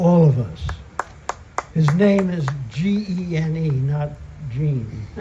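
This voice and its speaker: Noticeable background noise sits behind a man's voice. He speaks at a fairly high pitch with ordinary pitch variation. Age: 80s+. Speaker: peace activist. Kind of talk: award acceptance speech.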